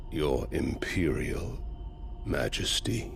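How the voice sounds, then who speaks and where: Clear music plays in the background as a man speaks in a put-on character voice. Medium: video game. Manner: measured, cold, menacing.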